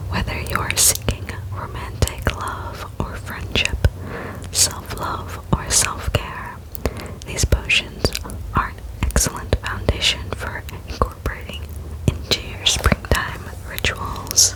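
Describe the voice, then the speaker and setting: Very slowly, a whispering voice comes through over noticeable background noise. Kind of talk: ASMR book reading. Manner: whispered.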